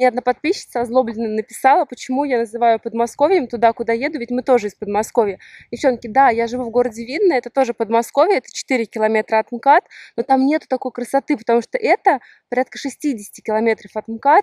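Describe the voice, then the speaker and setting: A woman's high-pitched voice at a very fast pace, ordinary pitch variation, dry sound with no echo and a quiet background. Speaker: vlogger. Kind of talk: casual vlog chat.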